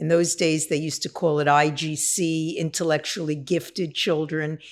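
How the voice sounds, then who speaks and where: With a New York accent, a woman speaks at a very deep, low pitch in a monotone, flat delivery at a moderate pace. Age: 60s. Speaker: person in long-term addiction recovery. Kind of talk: testimony.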